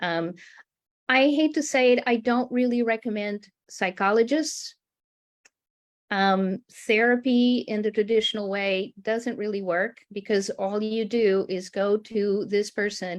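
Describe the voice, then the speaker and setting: A woman with an unremarkable speaking voice speaks at a moderate pace and medium pitch, with ordinary pitch variation. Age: 60s. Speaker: art-based healing coach. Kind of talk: panel discussion.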